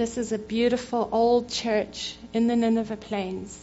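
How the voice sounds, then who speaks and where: A woman with a South African accent speaks at a fairly slow pace. Her intonation is monotone and flat, with music in the background. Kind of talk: church talk. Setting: church.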